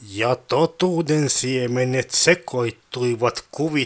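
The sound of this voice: The pitch shifts in an ordinary way. What you hear is an unforced reading voice.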